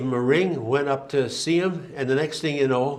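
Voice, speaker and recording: Audible room echo surrounds a speaker with a Canadian accent and ordinary pitch variation. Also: man. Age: 70s. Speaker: timber framer. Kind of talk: public talk with slides. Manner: halting, many fillers and restarts.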